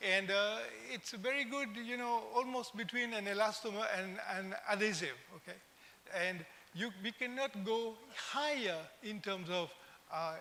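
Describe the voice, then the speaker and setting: Raising and projecting his high voice, a man speaks at a fairly slow pace with long, frequent pauses. Room echo is audible. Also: ordinary pitch variation. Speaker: invited conference speaker. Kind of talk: conference lecture.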